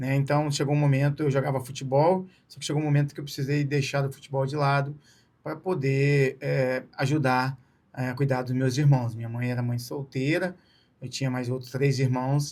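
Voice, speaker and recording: A somewhat breathy man's voice, fairly high in pitch, monotone and flat at a moderate pace, in a very clean recording with a silent background. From Brazil, Espírito Santo (Vitória/Serra). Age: 40s. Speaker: ultramarathon runner. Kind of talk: interview.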